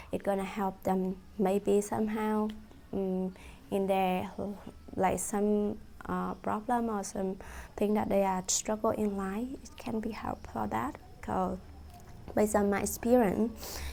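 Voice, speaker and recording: With long, frequent pauses, a woman speaks at a medium pitch and a fairly slow pace, her intonation fairly even. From Vietnam. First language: Vietnamese. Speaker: student presenting a course project. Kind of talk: class presentation. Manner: halting, many fillers.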